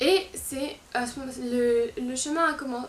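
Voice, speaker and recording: Over noticeable background noise and audible room echo, a woman speaks at a high pitch. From France, Lyon region. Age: 20s. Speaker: fashion YouTuber and blogger. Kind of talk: casual vlog talk to camera. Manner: hesitant, many fillers.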